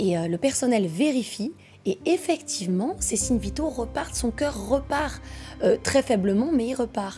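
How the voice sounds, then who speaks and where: Music behind a woman's fairly high-pitched voice. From France and Quebec. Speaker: true crime storyteller. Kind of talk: casual true crime narration.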